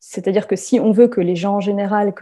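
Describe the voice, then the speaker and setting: Over a quiet background, the speaker talks at a fairly quick pace in a dark, mellow tone that is somewhat breathy, with fairly even intonation. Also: woman. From France. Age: 30s. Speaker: sociology PhD student. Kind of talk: testimony. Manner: hesitant with repetitions.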